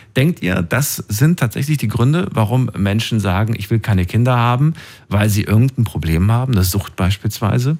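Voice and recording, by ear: A man talks at a moderate pace with few pauses and a fairly low pitch. His tone is slightly mellow, and his intonation is lively.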